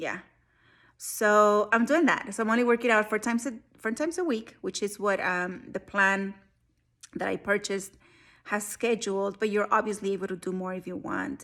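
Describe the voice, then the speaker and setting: This is a woman with an unremarkable speaking voice at a medium pitch, talking at a moderate pace with ordinary pitch variation on a very clean recording with a silent background. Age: 40s. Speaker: army service member. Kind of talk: casual talk to camera.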